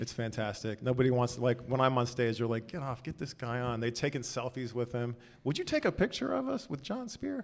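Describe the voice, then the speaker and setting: On a very clean recording with a silent background, a man with a plain, everyday voice talks at a fairly quick pace, his medium pitch showing ordinary variation. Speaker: tech executive. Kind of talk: live podcast interview. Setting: stage with audience.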